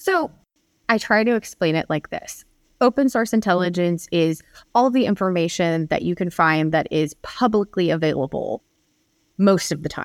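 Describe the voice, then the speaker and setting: Here a woman with an unremarkable speaking voice and fairly low pitch talks at a moderate pace with lively intonation, in a dry, close sound with no echo. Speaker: security investigator and author. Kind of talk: podcast interview.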